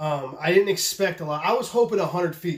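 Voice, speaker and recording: In an excited tone, a man speaks at a high pitch and fairly quick pace with ordinary pitch variation. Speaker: knife maker and video host. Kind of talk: casual vlog talk. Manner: stuttering, halting; excited, profane.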